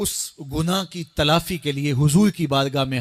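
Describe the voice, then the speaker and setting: A man is talking. His recording sounds dry and close, free of any echo. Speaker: Islamic preacher giving a sermon. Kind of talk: religious sermon (bayan).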